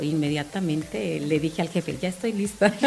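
A woman at a fairly quick pace with ordinary pitch variation and noticeable background noise. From Cancún, Mexico. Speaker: scout leader. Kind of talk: casual chat.

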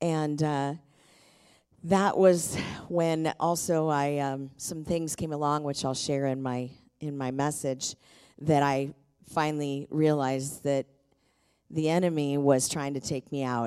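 In an American accent, a woman speaks fairly slowly with a very deep, low pitch and a dark, mellow tone. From US Pacific Northwest, Tacoma. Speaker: pastor. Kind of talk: sermon. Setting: church. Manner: animated.

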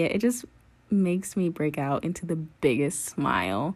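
With an American accent, a woman speaks in an animated, enthusiastic tone, her fairly low pitch swinging very widely, with vocal fry, on a very clean recording with a silent background. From North Carolina. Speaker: podcast host reviewing a TV series. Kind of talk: casual solo commentary.

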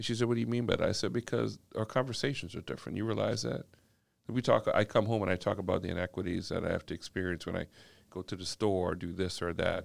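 Very fast speech from a fairly low-pitched man with vocal fry on a very clean recording with a silent background. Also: ordinary pitch variation. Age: 50s. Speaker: corporate executive and community equity advocate. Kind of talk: casual podcast interview.

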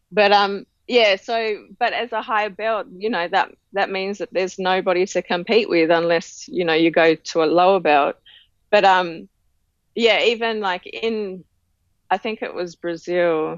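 A woman with an Australian accent, medium in pitch, at a fairly slow pace. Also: ordinary pitch variation. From Tasmania, Australia. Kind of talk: interview.

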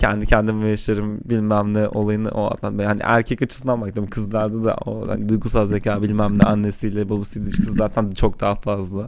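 A fairly low-pitched man at a fairly quick pace, with monotone, flat intonation and noticeable background noise. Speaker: software engineer, podcast co-host. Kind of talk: casual chat. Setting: home studio. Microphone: mic held close, popping plosives.

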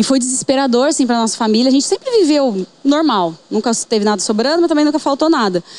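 With noticeable background noise behind her, a woman speaks at a high pitch with very wide pitch swings. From Paraná, Brazil (Bandeirantes). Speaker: entrepreneur, aesthetics physiotherapist. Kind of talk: casual interview chat.

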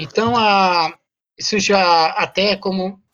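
This is a woman with an unremarkable speaking voice. Her pitch sits in the medium range and her intonation stays fairly even. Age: 40s. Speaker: activist, association president. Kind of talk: interview.

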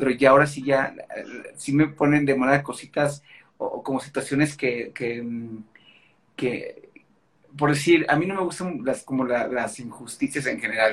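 A man speaks with a fairly high pitch and fairly even intonation. His pace is fairly slow, with long pauses that come often. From Mexico, Guadalajara (Jalisco). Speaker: actor. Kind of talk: casual interview.

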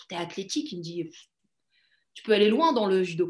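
A woman's voice at medium pitch. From Morocco. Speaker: judo athlete. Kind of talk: interview. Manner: hesitant with fillers.

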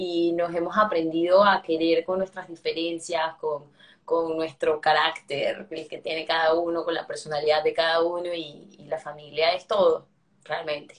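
The delivery is monotone, with flat intonation. The pace is moderate. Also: woman, fairly low pitch for a woman. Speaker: interview guest. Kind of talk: interview.

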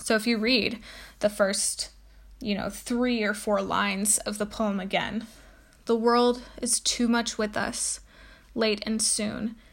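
On a very clean recording with a silent background, a woman with a fairly high, somewhat breathy voice speaks very slowly in a monotone, flat intonation. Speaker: podcast host. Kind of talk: educational talk, with a poem read aloud. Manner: explanatory, teacher-like, with frequent um and uh fillers.

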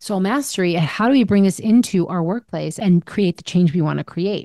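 A woman speaks at a moderate pace with a medium pitch and a dark, mellow tone. The sound is dry and close with no echo, and the background is quiet. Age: 50s. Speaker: podcast host and life coach. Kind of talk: solo monologue podcast.

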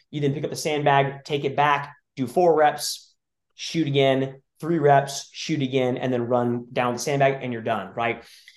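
A man talks at a moderate pace in a fairly high pitch. He has a normal speaking voice. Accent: American. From California. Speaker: CrossFit and tactical games athlete. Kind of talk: casual chat.

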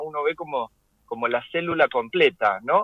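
A man's pitch leaps very widely as he talks at a moderate pace. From Argentina, Lanús (Greater Buenos Aires). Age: 40s. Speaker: writer and translator. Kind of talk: interview. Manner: halting, many repetitions.

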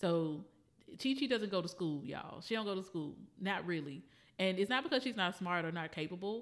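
Over a silent background in a very clean recording, a woman with an unremarkable speaking voice and medium pitch talks at a fairly quick pace with lively intonation. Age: 30s. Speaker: podcast co-host. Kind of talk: casual chat.

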